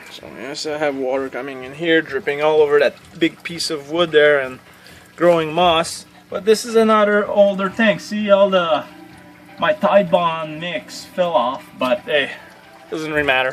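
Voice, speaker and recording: The speech comes in a Quebec accent at a moderate pace. Music plays in the background. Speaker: frog keeper, hobbyist vlogger. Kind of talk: casual video tour. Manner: casual, halting with fillers.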